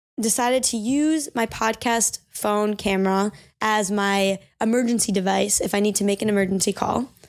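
A woman's fairly high, animated voice with ordinary pitch variation comes through on a very clean recording with a silent background. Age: 20s. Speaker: podcast host. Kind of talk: solo podcast monologue.

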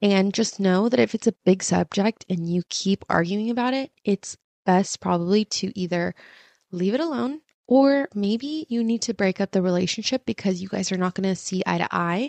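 Woman with a Californian accent, medium pitch, lively intonation, moderate pace. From Orange County, California. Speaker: podcast host and content creator. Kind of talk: casual monologue. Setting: home video recording set. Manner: animated.

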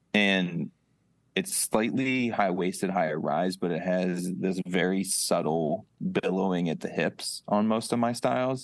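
Against a quiet background, a man with an American accent and a very deep, low pitch speaks at a fairly slow pace with ordinary pitch variation. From Ohio, small town. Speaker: clothing brand founder. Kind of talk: interview.

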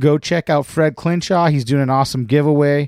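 In a very clean recording with a silent background and a dry, close sound with no echo, a man with a normal speaking voice speaks at a fairly high pitch, a moderate pace and with fairly even intonation. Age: 40s. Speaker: podcast host. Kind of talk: casual chat. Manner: laughs often.

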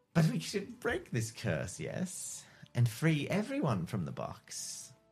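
A put-on character voice drawls at a fairly slow pace with very wide pitch swings. Faint music plays in the background. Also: man. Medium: actual play. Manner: theatrical, drawling, calls people darling.

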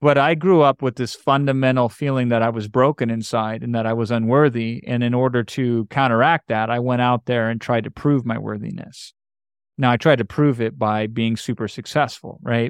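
In a dry, close recording with no echo and a quiet background, a man with an unremarkable speaking voice talks at a moderate pace and medium pitch with fairly even intonation. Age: 40s. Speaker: marketing and webinar expert. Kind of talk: podcast interview.

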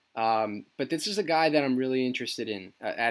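Over a silent background in a very clean recording, a man talks at a fairly quick pace. His is a normal speaking voice, medium in pitch with ordinary variation. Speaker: sports podcast host. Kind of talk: casual chat.

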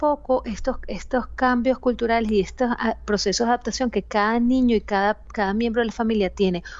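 The speaker has a Venezuelan accent. Their intonation stays fairly even. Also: woman. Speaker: psychologist. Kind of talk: interview.

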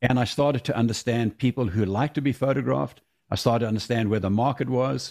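Vocal fry runs through a man's medium-pitched voice. He speaks very fast with ordinary pitch variation. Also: very even loudness. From South Africa. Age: 60s. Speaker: race car driver and photographer. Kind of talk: interview.

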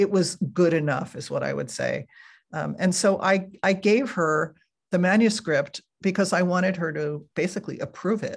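A woman with an American accent, fairly low in pitch and somewhat breathy, with ordinary pitch variation, a moderate pace and a quiet background. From New Jersey. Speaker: author and writing teacher. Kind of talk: interview. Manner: calm, warm.

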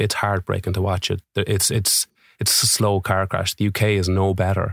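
A man's very deep, low voice with an Irish accent at a moderate pace, in a dry, close sound with no echo on a very clean recording with a silent background. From Ireland. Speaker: musician and mental health advocate. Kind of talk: interview. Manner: animated.

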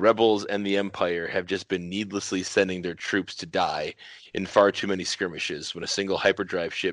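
A natural reading voice carries fairly even intonation throughout.

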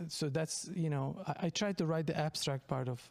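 A man talks with a Turkish accent. His pitch is fairly high and his intonation fairly even. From Turkey. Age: 40s. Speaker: comedian. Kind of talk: casual chat. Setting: studio.

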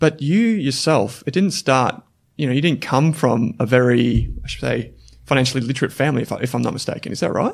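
With an Australian accent, a man talks at a fairly quick pace, and his voice has vocal fry. His pitch is medium and shifts in an ordinary way. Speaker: podcast host. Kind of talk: interview conversation.

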